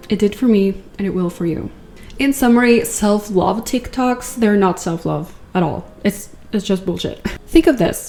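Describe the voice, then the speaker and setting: A woman with a non-native accent and a medium-pitched voice speaks fairly slowly over noticeable background noise. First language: not English. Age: 20s. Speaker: content creator. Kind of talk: casual video essay. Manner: animated.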